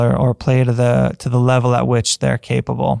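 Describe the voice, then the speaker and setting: At a fairly quick pace, a man talks with a dry, close sound with no echo and noticeable background noise. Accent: American. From US Midwest, upper Michigan. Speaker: golf coach. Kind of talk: solo podcast monologue.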